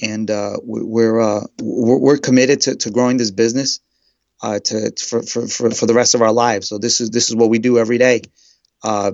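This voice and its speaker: A man with a New York accent, medium in pitch, fairly quick in pace and monotone with flat intonation. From New York City (Brooklyn). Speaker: real estate agent. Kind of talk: interview. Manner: halting, repeats words.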